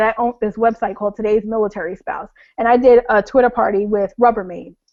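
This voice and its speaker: A woman with a New York accent speaks at a fairly high pitch. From US Northeast (Long Island, New York). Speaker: blogger. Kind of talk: webinar talk. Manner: fast; informal.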